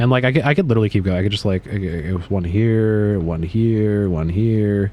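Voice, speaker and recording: Amid noticeable background noise, a man with a fairly low pitch talks at a fairly quick pace. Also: ordinary pitch variation. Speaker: video game streamer. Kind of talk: casual live-stream chat while gaming. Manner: casual, halting with fillers.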